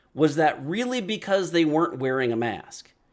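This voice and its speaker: Loud and fairly high-pitched, a man talks at a moderate pace with very wide pitch swings in a very clean recording with a silent background. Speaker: video podcast host. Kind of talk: casual monologue. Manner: conversational.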